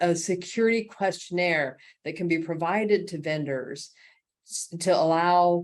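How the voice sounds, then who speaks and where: A woman with a normal speaking voice talks at a moderate pace in a fairly low pitch, with fairly even intonation and a quiet background. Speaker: executive director of a cybersecurity nonprofit. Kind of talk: presentation.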